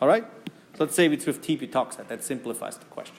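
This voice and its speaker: Speaking with a German accent, a man has a fairly high pitch. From German-speaking Europe. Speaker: university chemistry lecturer. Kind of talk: lecture. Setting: classroom.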